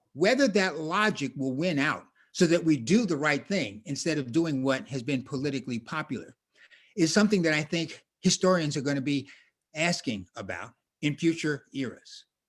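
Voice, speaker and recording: A man with an American accent speaks at a moderate pace in a fairly high voice. His intonation is lively, and the background is quiet. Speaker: public health scholar and ordained minister. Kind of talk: panel talk. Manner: preacherly cadence.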